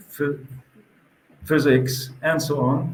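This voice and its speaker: Heard with audible room echo, a man with a German accent speaks at a very slow pace. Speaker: event organizer. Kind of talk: interview. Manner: halting.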